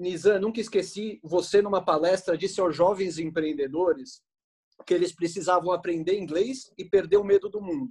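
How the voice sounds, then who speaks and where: High-pitched for a man, his voice keeps a moderate pace and ordinary pitch variation. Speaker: co-host interviewer. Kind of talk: casual interview chat. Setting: video call.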